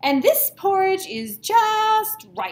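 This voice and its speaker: The speaker uses a put-on character voice. The pitch sits extremely high. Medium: read story.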